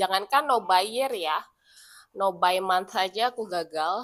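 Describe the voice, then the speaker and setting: The woman speaks with ordinary pitch variation. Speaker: vlogger. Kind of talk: casual chat.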